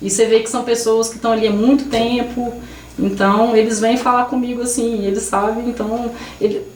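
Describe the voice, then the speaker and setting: A woman's fairly high, monotone voice with flat intonation, audible room echo and noticeable background noise. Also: moderate pace. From Brazil, Minas Gerais (Carmo do Rio Claro). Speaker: Brazilian expat worker interviewed. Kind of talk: podcast interview. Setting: studio. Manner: hesitant, many false starts.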